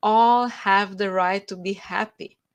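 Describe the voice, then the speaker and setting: On a very clean recording with a silent background, a woman with a Romanian accent speaks at a very slow pace, her medium pitch showing ordinary variation. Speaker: author. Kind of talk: interview.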